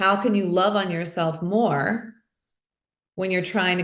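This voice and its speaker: At a moderate pace, a woman speaks in a fairly low, unremarkable speaking voice with ordinary pitch variation. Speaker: podcast host. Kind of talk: conversational interview talk.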